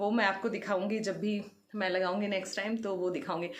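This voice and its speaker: This woman's voice has audible room echo around it. She speaks at a medium speed. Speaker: lifestyle vlogger. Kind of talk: casual vlog talk to camera.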